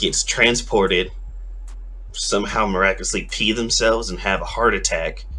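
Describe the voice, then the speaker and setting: At a moderate pace, a man speaks over noticeable background noise with audible room echo. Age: 20s. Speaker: anime streamer. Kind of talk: casual chat. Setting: livestream. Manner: slurred.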